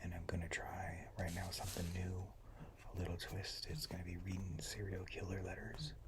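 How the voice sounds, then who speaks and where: Whispering at a moderate pace. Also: man. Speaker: ASMR content creator. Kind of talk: ASMR whispered reading of letters. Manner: whispered, calming.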